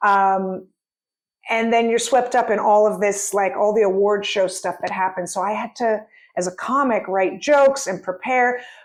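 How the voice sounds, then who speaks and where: A woman speaks in an animated tone at a moderate pace and medium pitch, with ordinary pitch variation against a quiet background. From San Francisco, US. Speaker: comedian. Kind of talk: casual chat.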